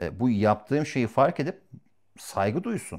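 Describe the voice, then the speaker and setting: A man at a moderate pace, on a very clean recording with a silent background. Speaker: dating coach. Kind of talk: casual chat. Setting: at home. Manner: loud; confident.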